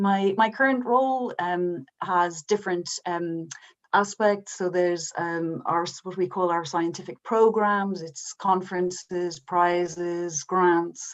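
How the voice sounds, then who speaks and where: Speaking at a very slow pace with hardly any pauses, this voice has ordinary pitch variation and an Irish accent. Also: woman, fairly low pitch for a woman. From Ireland. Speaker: science policy manager. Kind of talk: panel talk. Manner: halting.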